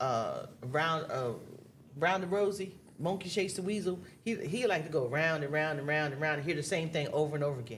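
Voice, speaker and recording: A woman with a very deep, low voice talks in an animated tone at a fairly quick pace. Her intonation is lively, and audible room echo is present. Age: 60s. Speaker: married guest. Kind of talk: casual chat.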